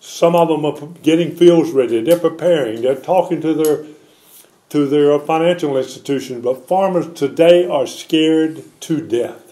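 With a North Carolina accent, a man speaks at a fairly slow pace in a fairly high pitch and a dark, mellow tone. His pitch variation is ordinary, and the background is quiet. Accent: US Southern, North Carolina. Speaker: former congressman; former politician. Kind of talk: press conference statement. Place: home room. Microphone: podium.

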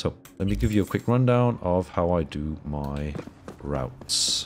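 This man has a low-pitched voice. His intonation is lively.

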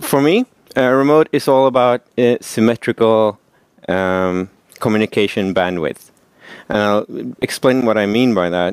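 A man talks at a moderate pace with long, frequent pauses, ordinary pitch variation and very even loudness. The sound is dry with no echo, over a quiet background. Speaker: presenter. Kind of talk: conference talk. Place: meeting room.

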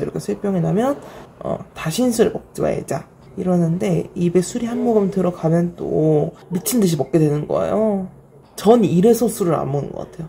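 Over light background noise, a woman with a fairly low voice talks at a moderate pace with lively intonation. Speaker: vlogger. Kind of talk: casual vlog chat.

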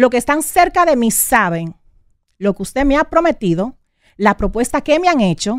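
Over a quiet background, in a dry sound with no echo, a woman with a high pitch and very wide pitch swings speaks at a moderate pace. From Dominican Republic, Santo Domingo area. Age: 30s. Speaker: radio host. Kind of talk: on-air personal statement; emotional talk show statement. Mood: hurt, indignant, confrontational. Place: studio. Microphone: studio mic.

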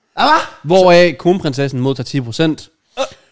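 Very slow speech with lively intonation against a quiet background. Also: man. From Denmark. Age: 20s. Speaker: podcast co-host; podcast host. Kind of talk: casual chat. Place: studio. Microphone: studio mic.

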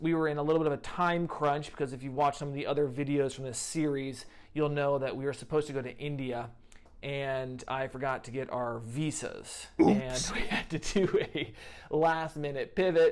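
A man at a moderate pace, with fairly even intonation and a quiet background. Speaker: travel vlogger. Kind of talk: casual vlog chat. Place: home room. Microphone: lapel.

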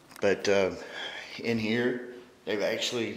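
Audible room echo follows a man as he speaks. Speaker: paranormal investigator host. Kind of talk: walkthrough tour commentary. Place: hall. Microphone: phone near.

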